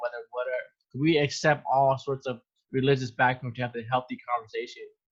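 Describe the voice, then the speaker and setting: Somewhat breathy and monotone, a man speaks in a medium pitch with flat intonation at a fairly quick pace. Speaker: podcast host. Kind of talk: podcast interview host talk.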